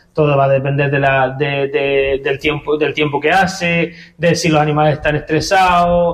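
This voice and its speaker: This man's voice sits fairly high and is somewhat breathy. His intonation stays fairly even at a moderate pace. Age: 30s. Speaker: goat farmer and cheesemaker. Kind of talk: radio interview. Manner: halting.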